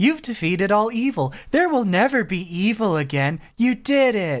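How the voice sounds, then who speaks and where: This put-on character voice sits at a fairly high pitch and swings very widely in pitch. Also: moderate pace, very clean recording, silent background. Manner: condescending.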